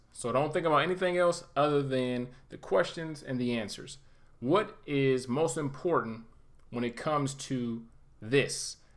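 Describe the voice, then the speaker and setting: A man's fairly high voice at a fairly slow pace. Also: ordinary pitch variation. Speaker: IT certification instructor. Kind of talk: tutorial. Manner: casual, conversational; occasional stumbles.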